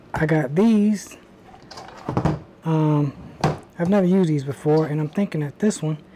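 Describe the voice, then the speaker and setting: A woman speaks at a fairly quick pace in a very deep, low voice with ordinary pitch variation. Noticeable background noise runs under the recording. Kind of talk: casual vlog chat. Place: garage.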